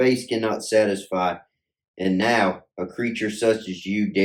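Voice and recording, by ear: Reading aloud in a natural voice, the speaker is heard over a quiet background.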